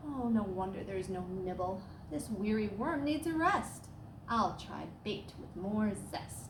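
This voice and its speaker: A woman's put-on character voice, sing-song and medium in pitch, at a fairly slow pace over clear background noise. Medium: read story. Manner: upbeat, sing-song.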